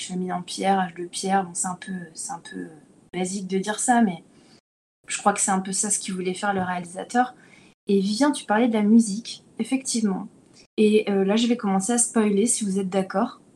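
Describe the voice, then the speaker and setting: Somewhat breathy, a woman speaks in a dark, mellow tone with fairly even intonation. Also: medium pitch for a woman, moderate pace, big swings in loudness. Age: 30s. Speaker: actress and podcast panelist. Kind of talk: casual chat.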